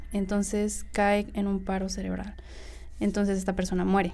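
A woman with a central Mexican accent talks at a medium pitch. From Mexico, Cuautla, Morelos. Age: young. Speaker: podcast guest. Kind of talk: casual storytelling of personal anecdotes.

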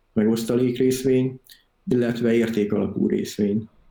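His voice medium in pitch with a dark, mellow tone, a man speaks at a fairly quick pace with fairly even intonation. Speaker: software developer and investing YouTuber. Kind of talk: interview. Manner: calm.

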